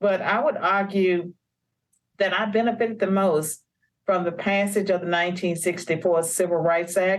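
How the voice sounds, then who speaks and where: A woman with an American accent talks at a moderate pace in an unremarkable speaking voice with a medium pitch. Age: 60s. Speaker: author and policy scholar. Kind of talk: interview.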